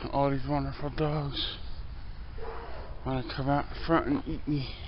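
A man speaks with noticeable background noise. The sound is dry with no echo. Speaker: vlogger. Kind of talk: casual vlog talk to camera. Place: street. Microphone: phone near.

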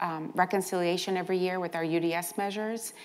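A woman's monotone, flat delivery at medium pitch. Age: 60s. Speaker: nonprofit healthcare CEO; panelist. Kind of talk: conference panel talk. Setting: stage with audience. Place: hall. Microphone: lapel.

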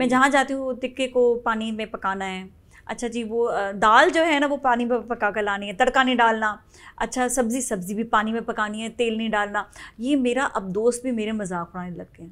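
At a moderate pace, a woman with a fairly high pitch speaks with ordinary pitch variation and big swings in loudness. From Pakistan. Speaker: TV morning show host. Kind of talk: casual interview. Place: studio.

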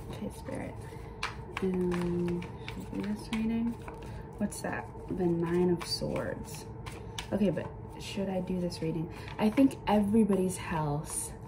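Pausing long and often, a woman with a fairly low pitch talks at a fairly slow pace with ordinary pitch variation amid noticeable background noise. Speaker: tarot reader. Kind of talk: casual spiritual reading talk. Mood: calm, reflective. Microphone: phone near.

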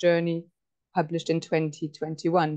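Against a quiet background, a woman speaks with a fairly low pitch. Her tone is dark and mellow. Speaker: event host. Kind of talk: introduction of a speaker. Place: home room. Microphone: earbuds.

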